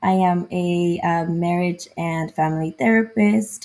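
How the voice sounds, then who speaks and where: A dark, mellow voice with ordinary pitch variation and a Spanish accent. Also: woman. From southern California, early childhood in Mexico. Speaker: therapist. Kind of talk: casual interview.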